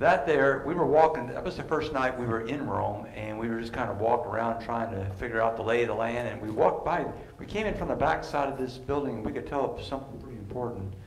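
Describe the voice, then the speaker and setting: There is light background noise and audible room echo. A man speaks at a very fast pace with ordinary pitch variation. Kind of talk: sermon-style teaching talk. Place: church. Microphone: headset.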